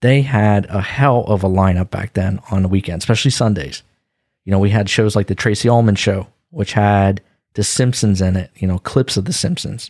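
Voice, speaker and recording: In a very clean, dry, close recording with no echo and a silent background, a man with a fairly low pitch speaks at a moderate pace with ordinary pitch variation. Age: 40s. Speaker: podcast host. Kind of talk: casual chat.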